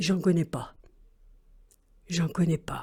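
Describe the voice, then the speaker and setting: Using a put-on character voice, a woman speaks fairly slowly at a fairly low pitch. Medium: read story. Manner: curt.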